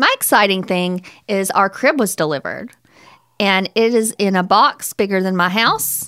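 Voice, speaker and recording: A woman talks at a moderate pace with ordinary pitch variation. It is an ordinary speaking voice. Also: medium pitch for a woman. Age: 30s. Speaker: podcast co-host, attorney. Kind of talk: casual chat.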